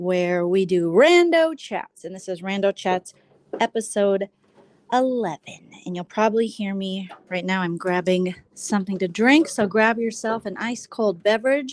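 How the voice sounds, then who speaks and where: Soft-spoken and fairly slow, a woman talks at a medium pitch with ordinary pitch variation and big swings in loudness, the sound dry and close with no echo. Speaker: vlogger. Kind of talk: casual livestream chat. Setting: live stream at home. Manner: quiet, soft-spoken.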